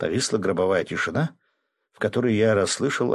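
A natural reading voice, pitched with the usual amount of rise and fall, comes through against a quiet background.

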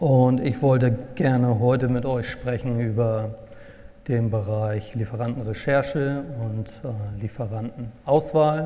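A man speaks at a very slow pace and medium pitch with fairly even intonation. Noticeable background noise can be heard. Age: 40s. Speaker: purchasing consultant. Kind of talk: workshop presentation.

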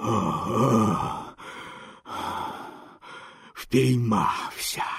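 A man's raspy, growling put-on character voice at a medium pitch. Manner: menacing, growling.

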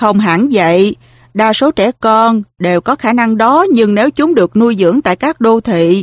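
Lively intonation in plain reading aloud.

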